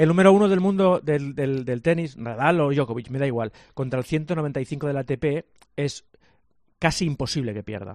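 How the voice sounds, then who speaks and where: A man talks with lively intonation at a moderate pace. He has an unremarkable speaking voice. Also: fairly high pitch for a man. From Catalonia, Sant Cugat. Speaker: sports journalist. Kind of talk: sports radio chat. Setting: remote link.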